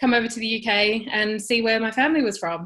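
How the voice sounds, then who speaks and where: A woman with an Australian accent talks fairly quickly in a bright, sharp tone with fairly even intonation against a quiet background. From Australia (Perth), born in New Zealand. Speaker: interviewee. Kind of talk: personal interview.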